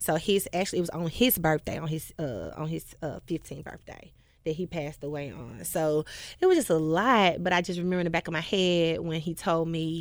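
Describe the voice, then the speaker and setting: A fairly low-pitched woman with a Memphis accent at a fairly quick pace, on a very clean recording with a silent background. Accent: US Southern, Memphis. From Memphis, Tennessee (Whitehaven). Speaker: gospel singer. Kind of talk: casual interview.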